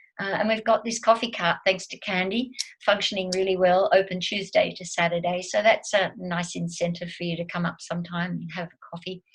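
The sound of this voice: A woman speaks at a fairly quick pace with a fairly low pitch and little pitch movement.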